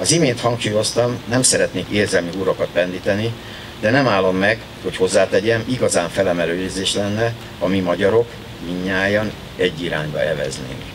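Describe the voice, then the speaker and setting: Behind a man's voice there is noticeable background noise. He speaks at a fairly quick pace with a fairly low pitch. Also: ordinary pitch variation. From Hungary. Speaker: sports official and former Olympic champion. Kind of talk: ceremonial speech. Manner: formal. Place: garden. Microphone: podium.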